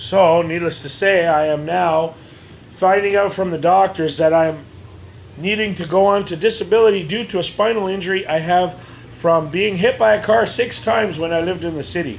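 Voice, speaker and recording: Noticeable background noise sits behind a man whose high pitch shows ordinary variation. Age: 40s. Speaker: person telling own medical story. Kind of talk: personal testimony. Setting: self-recorded video.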